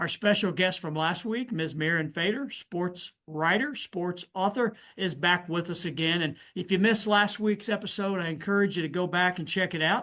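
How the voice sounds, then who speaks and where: A man with a Southern Indiana accent, high in pitch, at a moderate pace with ordinary pitch variation and hardly any pauses. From US Midwest, southern Indiana. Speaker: podcast host. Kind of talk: interview.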